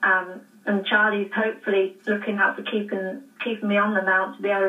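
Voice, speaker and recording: Her intonation is monotone and flat as a woman with an American accent speaks at a fairly quick pace. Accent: English, picking up some American. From England. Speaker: jockey. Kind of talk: interview. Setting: phone call.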